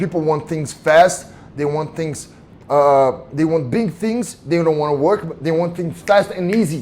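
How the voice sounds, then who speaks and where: A man with a Brazilian Portuguese accent speaks at a fairly slow pace. His pitch is fairly high, with ordinary variation. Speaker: mixed martial arts fighter. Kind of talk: casual interview chat. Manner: halting, repeats words.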